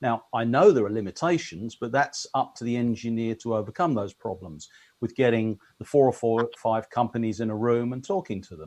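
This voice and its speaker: Speaking at a fairly quick pace with hardly any pauses, a man with an English accent keeps a medium pitch. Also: ordinary pitch variation, big swings in loudness. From England. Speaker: electronics engineer and industry consultant. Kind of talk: casual chat.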